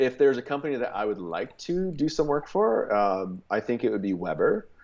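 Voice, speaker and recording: Here is a man with a Canadian accent and a medium pitch. He talks at a fairly quick pace, his pitch swinging very widely. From Canada. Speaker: barbecue content creator. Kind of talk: casual chat. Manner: hesitant, many fillers.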